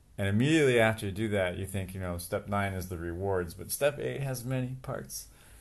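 With lively intonation, an unremarkable speaking voice talks at a fairly quick pace. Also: man, fairly low pitch for a man. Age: 40s. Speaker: departing podcast co-participant, entrepreneur. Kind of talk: casual chat.

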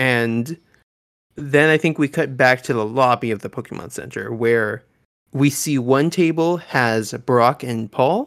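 A man of medium pitch speaks at a fairly slow pace with ordinary pitch variation in an unremarkable speaking voice, recorded very cleanly against a silent background. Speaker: podcast host. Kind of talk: casual podcast discussion.

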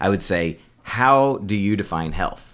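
A man speaks with ordinary pitch variation. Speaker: holistic doctor. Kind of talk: casual interview chat.

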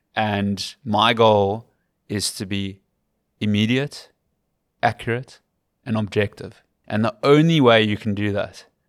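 A man with a Cape Town accent speaks at a fairly slow pace, his pitch fairly low and his intonation fairly even. The recording is very clean, with a silent background. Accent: English-speaking South African, Cape Town. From South Africa, Western Cape. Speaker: rugby commentator. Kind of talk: casual interview. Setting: in person at a rugby club.

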